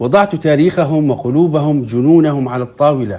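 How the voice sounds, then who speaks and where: A man with a fairly high pitch speaks at a fairly slow pace in a dark, mellow tone. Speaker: poet, writer and journalist. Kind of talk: interview.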